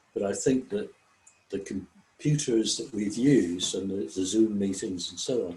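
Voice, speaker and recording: A man speaks with an English accent in a fairly low pitch. His voice is somewhat breathy, and his pitch varies in an ordinary way. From England. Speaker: service club member. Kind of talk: online group discussion. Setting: video call.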